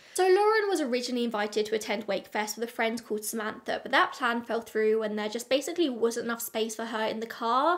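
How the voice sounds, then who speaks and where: Speaking at a fairly quick pace, a woman with an English accent uses a fairly high pitch and ordinary pitch variation against a quiet background. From England. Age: 20s. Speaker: true crime youtuber. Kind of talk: scripted narration. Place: home room.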